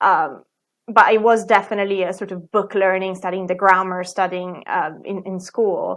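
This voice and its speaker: A woman with an Italian accent speaks at a medium pitch in a flat, monotone delivery, her loudness swinging widely. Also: moderate pace. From Italy. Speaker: plant biologist and ballet dancer. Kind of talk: interview conversation.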